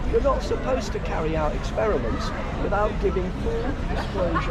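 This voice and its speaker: A man is heard with crowd noise in the background and audible room echo. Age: 60s. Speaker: protester. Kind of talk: street argument lecturing police. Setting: outdoors at a protest.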